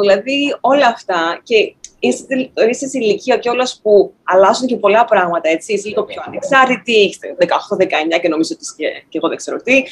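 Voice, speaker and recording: Her fairly high voice swings very widely in pitch as the woman speaks. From Greece, Thessaloniki. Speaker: actor. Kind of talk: interview.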